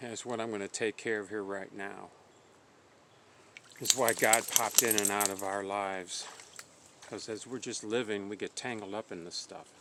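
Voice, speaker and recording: Over noticeable background noise, a man speaks in a flat monotone at a moderate pace and a fairly low pitch, with long, frequent pauses. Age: 60s. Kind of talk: religious testimony monologue. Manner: halting.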